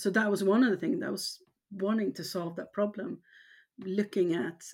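A woman speaks with a Swedish accent. Her pace is fairly slow. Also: very clean recording, silent background. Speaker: cosmetics company founder. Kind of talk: interview.

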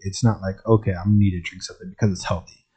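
A man with an American accent, somewhat breathy and fairly even in intonation. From Champaign-Urbana area, Illinois. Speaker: podcast host and entrepreneur. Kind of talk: casual monologue. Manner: casual, many filler words.

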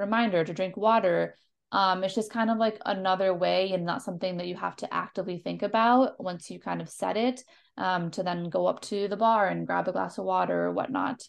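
A woman speaks fairly quickly with an American accent, using an ordinary speaking voice at medium pitch. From Minnesota. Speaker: podcast co-host, university student. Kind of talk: casual chat.

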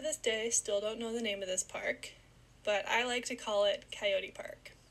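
Using a normal speaking voice, a woman with a Canadian accent speaks at a fairly high pitch with fairly even intonation. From Ontario, Canada. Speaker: podcast host, university student. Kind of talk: casual solo podcast narration.

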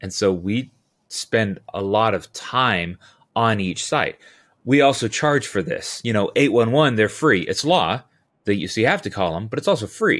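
With lively intonation, a man speaks at a moderate pace and a medium pitch in an unremarkable speaking voice. The recording is very clean, with a silent background. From Southern California. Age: 40s. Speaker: utility locating business owner. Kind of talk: casual interview.

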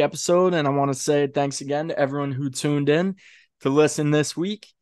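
A man with an American accent in an ordinary speaking voice, fairly high-pitched, at a moderate pace, with fairly even intonation and a quiet background. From Maryland Eastern Shore (Kent County). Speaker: podcast host. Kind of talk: casual interview.

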